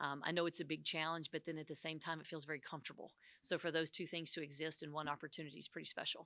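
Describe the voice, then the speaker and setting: Speaking at a very fast pace, a woman with a Southern US accent has a very deep, low pitch, a bright, sharp tone and monotone, flat intonation. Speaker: women's basketball head coach. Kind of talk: press conference. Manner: halting, many fillers.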